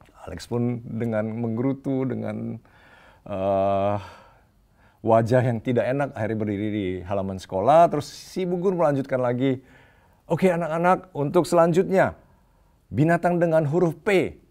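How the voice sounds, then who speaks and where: A man's dark, mellow tone at medium pitch and moderate pace, with very wide pitch swings. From Indonesia, Medan then Jakarta. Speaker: preacher. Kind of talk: sermon. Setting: online church service.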